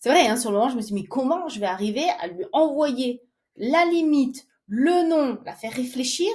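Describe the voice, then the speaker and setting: A woman speaks at a moderate pace with a high pitch. Her pitch swings very widely and her loudness rises and falls in big swings. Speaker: singer and stay-at-home mother. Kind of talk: interview.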